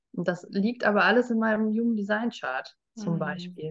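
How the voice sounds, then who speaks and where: Medium pitch and a moderate pace, an unremarkable speaking voice belonging to a woman. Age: 40s. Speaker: human design and life coach. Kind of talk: interview conversation.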